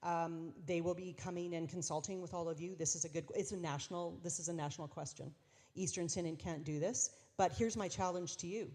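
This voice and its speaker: Heard in a very clean recording with a silent background, a woman with a Canadian accent talks at a fairly quick pace in a dark, mellow tone and a fairly low pitch. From Saskatchewan, Canada. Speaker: bishop. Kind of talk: Q&A session with congregations. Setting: church dinner event with audience. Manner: fast; animated.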